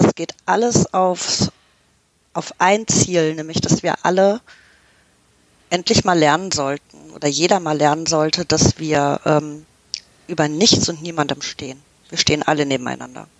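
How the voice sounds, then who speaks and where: Slowly and with long, frequent pauses, a woman speaks in a very deep, low pitch with ordinary pitch variation. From Canada. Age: 40s. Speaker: football fan. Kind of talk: casual chat.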